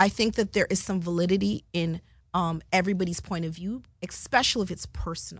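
This woman has a fairly low pitch, vocal fry, and ordinary pitch variation. She speaks at a fairly quick pace in an animated tone against a quiet background. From Canada (Jamaican-born). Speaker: television producer. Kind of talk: interview.

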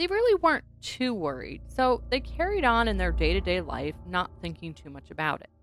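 Woman at a moderate pace with hardly any pauses and big swings in loudness, music in the background. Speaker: paranormal podcast host. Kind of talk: true-crime/horror narration, storytelling a haunting. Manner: animated, with rhetorical asides.

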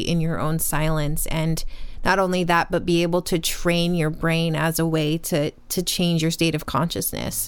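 A speaker with an American accent talks at a moderate pace. The intonation is flat and monotone. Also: woman. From upstate New York. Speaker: spiritual teacher. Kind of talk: casual chat.

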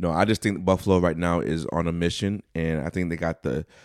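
Recorded very cleanly against a silent background, with a dry, close sound and no echo, a man with a very deep, low voice speaks at a moderate pace in an animated tone. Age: 40s. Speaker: podcast co-host. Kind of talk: casual chat.

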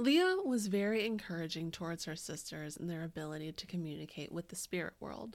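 Speaking at a fairly quick pace with hardly any pauses, a woman uses lively intonation at a fairly low pitch. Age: 30s. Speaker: podcast co-host. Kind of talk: casual chat and storytelling about history. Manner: animated.

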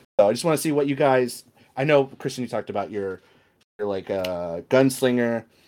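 This is an ordinary speaking voice, a man's at medium pitch with lively intonation. He talks at a fairly quick pace in a very clean recording with a silent background. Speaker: podcast co-host. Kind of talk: casual group chat.

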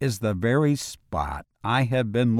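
The background stays quiet. An unforced reading voice moves through ordinary pitch variation.

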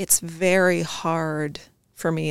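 A woman speaks with vocal fry. Her pitch is fairly low. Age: 30s. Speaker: entrepreneur and fashion designer. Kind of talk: casual chat.

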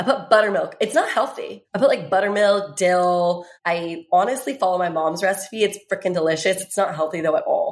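A woman with an American accent, a plain, everyday voice, medium pitch, fairly quick delivery and hardly any pauses. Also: ordinary pitch variation. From US South, Virginia. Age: 20s. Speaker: fitness trainer and swimsuit model. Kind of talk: casual chat.

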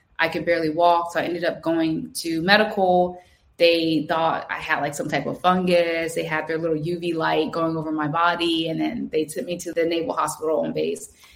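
Speaking at a moderate pace with hardly any pauses, a woman with a New Jersey accent keeps a fairly low pitch and fairly even intonation. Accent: New Jersey American. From New Jersey, Trenton. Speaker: Navy veteran. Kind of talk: interview.

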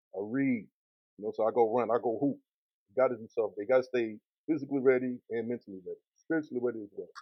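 A man talks at a very fast pace in a medium pitch. His intonation is fairly even, but his loudness swings widely. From Columbus, Mississippi. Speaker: rapper. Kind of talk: casual interview.

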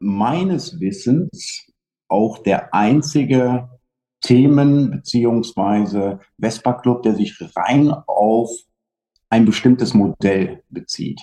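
Very slowly, a man speaks at a medium pitch in a dark, mellow tone with ordinary pitch variation. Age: 40s. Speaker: vintage scooter club organizer. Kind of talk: casual chat. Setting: video call.

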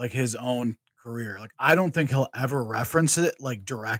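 In an American accent, a man with an unremarkable speaking voice talks at medium pitch with ordinary pitch variation. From Michigan. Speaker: wrestling podcast guest and fan. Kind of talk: casual chat.

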